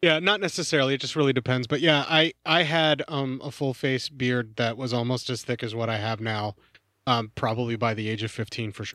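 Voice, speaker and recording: On a very clean recording with a silent background, a man uses a normal speaking voice at medium pitch, with ordinary pitch variation and a fairly quick pace. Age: 40s. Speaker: film podcaster. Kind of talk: casual chat.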